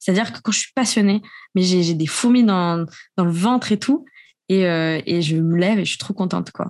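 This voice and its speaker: Medium-pitched female voice at a moderate pace with ordinary pitch variation. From raised abroad as French expat (Austria, Japan). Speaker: podcaster. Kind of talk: casual chat. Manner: talks a lot when passionate.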